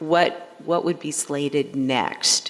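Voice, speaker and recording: A woman speaks very slowly while noticeable background noise goes on behind her. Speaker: board member. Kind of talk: board meeting question. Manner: loud.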